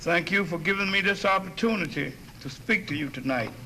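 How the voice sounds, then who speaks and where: A man with a North Carolina accent at a fairly slow pace, amid noticeable background noise and audible room echo. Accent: US Southern, North Carolina. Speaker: lecturer, former communist. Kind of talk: lecture. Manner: halting.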